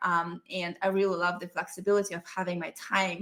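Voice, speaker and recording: A woman talks at a moderate pace with a Russian accent. Her tone is bright and sharp. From Russia (Ural Mountains, USSR). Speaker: business coach. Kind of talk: online masterclass.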